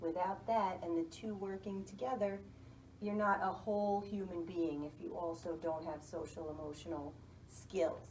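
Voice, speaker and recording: The speaker has a New York accent, ordinary pitch variation and a moderate pace. Noticeable background noise and audible room echo are present. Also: woman, fairly low pitch for a woman. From US Northeast, New York City. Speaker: school guidance counselor. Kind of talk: interview.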